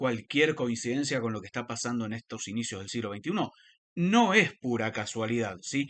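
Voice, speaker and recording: Delivered at a moderate pace with ordinary pitch variation, the speech comes over a quiet background. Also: man, medium pitch for a man. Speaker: religious commentator. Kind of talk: lecture. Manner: halting.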